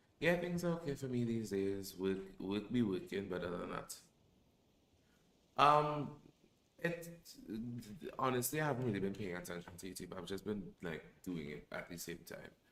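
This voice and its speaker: A man talks at a moderate pace with long, frequent pauses. His fairly low pitch swings very widely. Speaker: streamer. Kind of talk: casual chat. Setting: live stream. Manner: halting.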